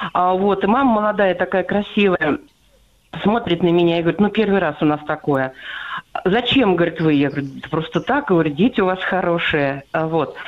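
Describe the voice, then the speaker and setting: Speaking at a moderate pace over noticeable background noise, a woman uses lively intonation at a fairly low pitch. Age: 60s. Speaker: radio listener caller. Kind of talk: phone-in story. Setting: phone call.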